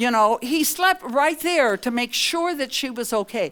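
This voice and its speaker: A woman speaks with an American accent and very wide pitch swings. There is noticeable background noise. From US Midwest, Iowa. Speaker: nurse and professor. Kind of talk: lecture.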